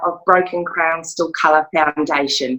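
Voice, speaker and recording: A woman speaks in an Australian accent at a fairly slow pace. Her tone is bright and sharp. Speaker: domestic violence survivor and charity founder. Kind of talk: testimony. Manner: frequent throat clearing.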